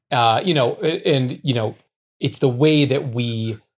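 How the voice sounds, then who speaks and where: With an American accent, a man speaks in a somewhat breathy voice with ordinary pitch variation. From United States. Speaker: novelist. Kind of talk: interview.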